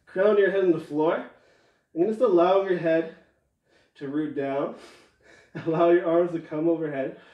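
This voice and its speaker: A man with a high-pitched voice speaks with long, frequent pauses amid audible room echo. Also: ordinary pitch variation, moderate pace, quiet background. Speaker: yoga instructor. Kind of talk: guided yoga class, cueing breath and movement; guided exercise instruction. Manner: encouraging countdown coaching, brisk rhythmic cues; calm, soothing during relaxation. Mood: calm, soothing cues. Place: home room.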